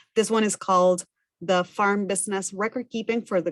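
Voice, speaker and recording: A woman speaks at a moderate pace with a Spanish accent, her medium pitch showing ordinary variation in a dry, close sound with no echo. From Argentina. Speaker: farm business management educator. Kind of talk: work presentation.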